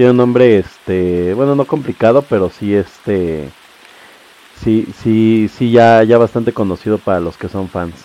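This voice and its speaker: A man's medium-pitched voice with a Mexican accent and ordinary pitch variation, in dry, close sound with no echo. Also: fairly slow pace. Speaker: podcast host. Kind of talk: casual chat.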